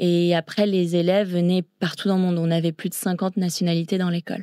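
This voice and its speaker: On a very clean recording with a silent background and a dry, close sound with no echo, a woman with a fairly low pitch and a dark, mellow tone speaks at a fairly quick pace in a flat monotone, her loudness very even. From grew up abroad in China and Thailand (international British school). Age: 20s. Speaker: long-distance swimmer. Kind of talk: interview.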